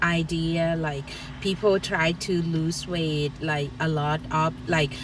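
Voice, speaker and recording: A woman speaks at a very slow pace. She has a strong Thai accent. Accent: thick Thai. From Thailand, rural. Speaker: co-host, YouTuber's wife. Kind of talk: casual live stream chat. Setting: outdoors in a park.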